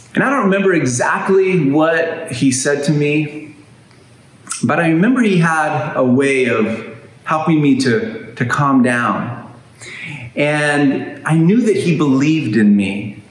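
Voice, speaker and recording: Pitched fairly high, a man talks at a fairly slow pace with very even loudness, with noticeable background noise and audible room echo. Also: lively intonation. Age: 50s. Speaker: pastor. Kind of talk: sermon.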